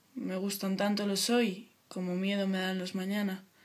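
A woman talks at a moderate pace. Light noise sits in the background. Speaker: poet. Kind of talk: spoken word poem reading. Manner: intimate, sensual, lyrical delivery. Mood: soft, intimate. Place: home room. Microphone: webcam.

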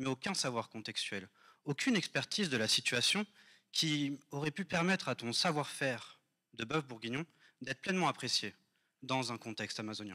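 Over a quiet background, a man with a fairly high pitch talks at a moderate pace, his tone bright and sharp and his intonation lively. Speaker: doctoral student contestant; candidate. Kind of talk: thesis pitch. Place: hall. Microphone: handheld.

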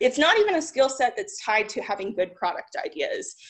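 Against a quiet background, a woman's high voice moves through very wide pitch swings. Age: 30s. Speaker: tech entrepreneur. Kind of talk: conference talk. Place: home room. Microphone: webcam.

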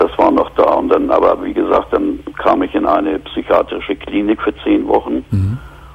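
Keeping a moderate pace, this man barely stops, with hardly any pauses. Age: 60s. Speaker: widowed caller. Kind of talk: call-in radio talk.

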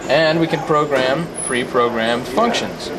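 A man's fairly slow speech with ordinary pitch variation over background music. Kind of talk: demonstration explanation. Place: hall. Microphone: headset.

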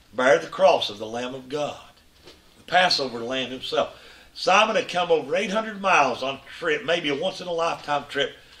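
The man talks at a moderate pace. His intonation is lively. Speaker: preacher. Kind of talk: sermon, Bible study teaching. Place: church. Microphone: podium.

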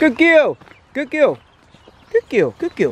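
Someone uses a high-pitched, put-on character voice at a fairly slow pace, with clear background noise behind it. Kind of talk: praising a dog. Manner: praising, high-pitched.

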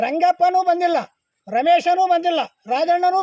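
This man speaks with an extremely high pitch. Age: 70s. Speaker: village elder. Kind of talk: news interview.

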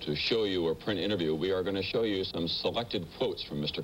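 Over light background noise, a man with a very deep, low pitch talks at a fairly quick pace with ordinary pitch variation. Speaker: TV show host. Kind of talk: broadcast introduction and quote reading. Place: studio. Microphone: lapel.

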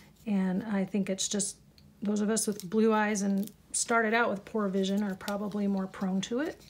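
A woman's medium-pitched, somewhat breathy voice at a moderate pace, with very even loudness and flat, monotone intonation. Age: 50s. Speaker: crafting YouTuber. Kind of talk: crafting tutorial. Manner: casual, chatty.

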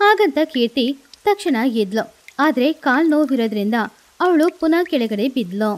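A woman's high voice with lively intonation at a moderate pace

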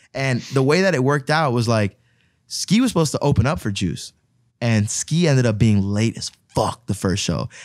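The delivery has lively intonation at a moderate pace, recorded dry with no echo against a quiet background. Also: man. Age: 20s. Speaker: DJ. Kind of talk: casual chat. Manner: animated. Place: studio. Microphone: studio mic.

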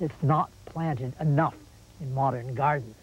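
This is a man with a somewhat breathy voice. The sound is dry, with no echo. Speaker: garden show host. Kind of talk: tutorial. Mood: warm, enthusiastic. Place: garden. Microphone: lapel.

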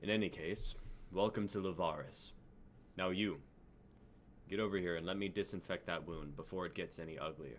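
A man's put-on character voice, gruff and very deep in pitch, at a fairly quick pace broken by long, frequent pauses, with clear background noise. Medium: stage play. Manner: calm, reassuring. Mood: warm, practical.

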